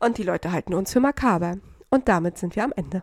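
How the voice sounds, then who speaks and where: A woman with lively intonation is heard on a very clean recording, the sound dry and close with no echo and a silent background. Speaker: true crime podcast host. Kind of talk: casual chat presenting a case.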